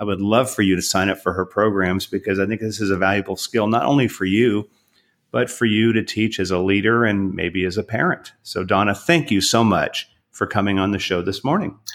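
An unremarkable speaking voice: a man, fairly low-pitched, fairly quick, with ordinary pitch variation, in a very clean recording with a silent background. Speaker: podcast host. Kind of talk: interview podcast, conversational.

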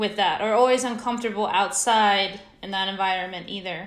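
The intonation stays fairly even in an ordinary speaking voice. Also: woman. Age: 40s. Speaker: business coach and author. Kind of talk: casual interview chat.

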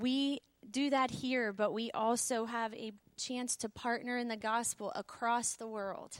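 A woman's unremarkable speaking voice, fairly high in pitch, at a fairly slow pace with fairly even intonation. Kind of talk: church welcome introduction. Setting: church.

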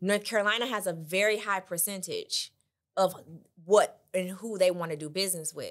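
An unremarkable speaking voice with an American accent, at a moderate pace with fairly even intonation. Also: woman, medium pitch for a woman, big swings in loudness. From US Midwest (Michigan City, Indiana). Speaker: government contracting consultant and entrepreneur. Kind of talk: podcast interview.

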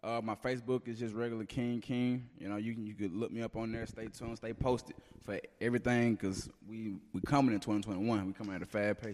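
In a Mississippi accent, a man with a medium pitch speaks at a very fast pace with a monotone, flat intonation. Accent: Southern US (Mississippi). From Mississippi, North Jackson. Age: 20s. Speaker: rapper. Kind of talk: casual interview. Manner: halting, many fillers.

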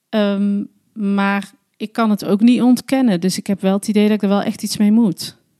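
A woman's dark, mellow voice at medium pitch comes through flat and monotone, with a dry, close sound, no echo, and a very clean recording with a silent background. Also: moderate pace. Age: 30s. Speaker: podcast co-host, adoptee. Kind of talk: casual conversation. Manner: hesitant, many fillers.

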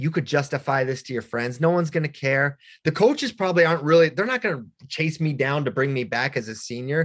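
A man with an American accent speaks in an unremarkable speaking voice, fairly high-pitched and at a fairly quick pace, with lively intonation over a quiet background. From Virginia, Shenandoah Valley. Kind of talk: casual interview.

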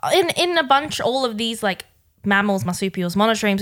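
The speaker has an Australian accent and lively intonation. The pace is fairly quick. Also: woman. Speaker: podcast co-host. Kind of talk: casual chat.

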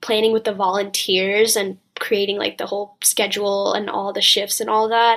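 A woman with a New Jersey accent speaks at a moderate pace and medium pitch in a monotone, flat way. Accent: American (New Jersey). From New Jersey, US. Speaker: college student. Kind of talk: interview. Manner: frequent fillers and hesitations.

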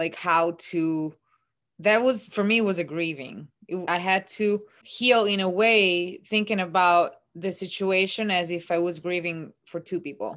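Against a quiet background, a woman with an Italian accent speaks at a fairly slow pace and a fairly low pitch with ordinary pitch variation. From Italy, Ancona. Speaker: tour guide and entrepreneur. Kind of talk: interview.

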